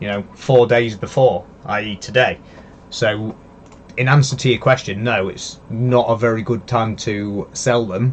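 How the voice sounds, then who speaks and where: In a Leeds accent, a man talks at a fairly slow pace with a medium pitch and fairly even intonation. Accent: some Leeds. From northern England, Yorkshire near Leeds. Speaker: crypto live streamer. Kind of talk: live stream analysis. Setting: live stream from computer. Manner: hesitant, many fillers.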